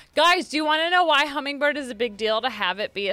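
A woman is speaking. Her tone is bright and sharp. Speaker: tabletop game player. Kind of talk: casual game chat.

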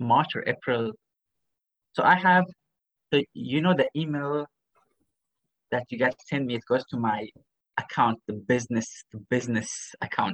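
With a Middle Eastern accent and long, frequent pauses, a man speaks at a medium pitch with ordinary variation in a dry, close sound with no echo. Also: moderate pace. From Kuwait, of Persian background. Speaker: medical doctor. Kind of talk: casual interview.

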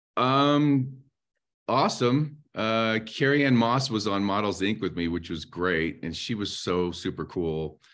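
Against a quiet background, a man with an American accent and an unremarkable speaking voice talks at a fairly slow pace in a medium pitch with lively intonation. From North Carolina, US South. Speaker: actor. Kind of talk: interview.

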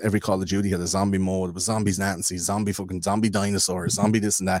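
A man speaks with an Irish accent at a very deep, low pitch. His intonation is monotone and flat, and the sound is dry and close with no echo. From Ireland. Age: 30s. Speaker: podcaster. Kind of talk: casual chat.

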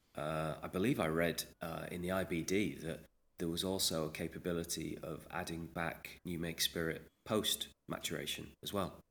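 With a very deep, low pitch, a man speaks in a monotone, flat way at a moderate pace. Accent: English. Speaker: podcast host and whiskey ambassador. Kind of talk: casual interview chat. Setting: remote call from UK.

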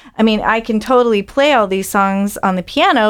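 A woman with an American accent at a fairly slow pace, on a very clean recording with a silent background. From Illinois, US Midwest. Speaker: singer-songwriter. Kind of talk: casual interview chat. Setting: studio.

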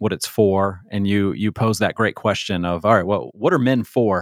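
Recorded very clean, dry, and close with a silent background and no echo, a man with an ordinary speaking voice talks at a fairly quick pace in a fairly low pitch with ordinary pitch variation. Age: 40s. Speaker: podcast host. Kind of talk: interview.

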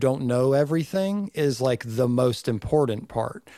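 On a very clean recording with a silent background, a man speaks fairly slowly in a Southern US accent. His fairly high voice has a dark, mellow tone and lively intonation. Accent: Southern US (Georgia). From Northeast Georgia, US South. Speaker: recording engineer and podcast co-host. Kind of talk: casual chat.

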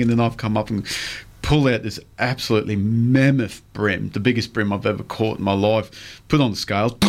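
On a very clean recording with a silent background, a man speaks with an Australian accent. His pitch is medium, his pace fairly quick, and his pitch variation ordinary. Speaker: radio fishing show host. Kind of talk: casual chat.

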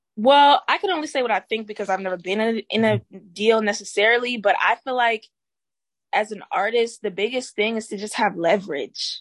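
A woman talks in an unremarkable speaking voice at fairly high pitch and a fairly quick pace. Her pitch varies in an ordinary way, and the sound is dry and close with no echo. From Florida, US (born in Haiti, moved as a small child). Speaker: singer and rapper. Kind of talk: interview. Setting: studio.

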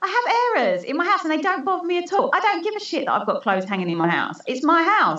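A woman's raised, projected voice at an extremely high pitch, with very wide pitch swings, a very fast pace and hardly any pauses, amid noticeable background noise. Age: 40s. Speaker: women's mentor and author. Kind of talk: casual interview chat.

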